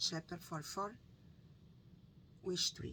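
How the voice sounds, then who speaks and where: A woman's fairly low voice with a Brazilian Portuguese accent and ordinary pitch variation. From northeastern Brazil. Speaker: book reading YouTuber. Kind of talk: reading aloud; casual chat. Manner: halting.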